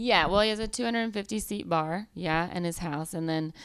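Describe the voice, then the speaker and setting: A woman with an American accent talks at a moderate pace with fairly low pitch and ordinary pitch variation, on a very clean recording with a silent background. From US South, Georgia. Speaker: comedian. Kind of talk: casual chat.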